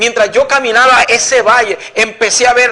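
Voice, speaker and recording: A man's raised, projected voice at an extremely high pitch, moderate in pace with fairly even intonation, over noticeable background noise. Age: 60s. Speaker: pastor. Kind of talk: testimony.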